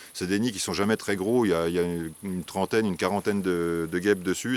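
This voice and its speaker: The very fast speech comes with fairly even intonation, a dry, close sound with no echo, and a very clean recording with a silent background. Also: man. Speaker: wasp nest removal specialist. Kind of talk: tutorial. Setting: outdoors. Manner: hesitant, many fillers.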